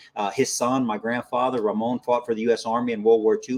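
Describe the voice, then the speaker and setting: The delivery is fairly quick and monotone, with flat intonation, in a dry, close sound with no echo. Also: man. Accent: American. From South Texas, US. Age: 40s. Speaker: army veteran. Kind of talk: interview.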